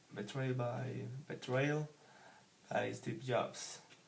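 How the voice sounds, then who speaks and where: A man with a Spanish accent, speaking at a very slow pace, with audible room echo. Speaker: book reviewer, English learner. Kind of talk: casual book review monologue. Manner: halting, hesitant with many fillers.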